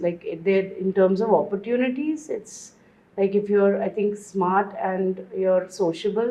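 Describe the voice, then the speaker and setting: Against noticeable background noise, a woman with a Bombay accent speaks at a fairly slow pace, her medium pitch showing ordinary variation. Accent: Western suburbs Bombay. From India, Mumbai western suburbs. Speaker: guest, former journalist. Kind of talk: interview conversation.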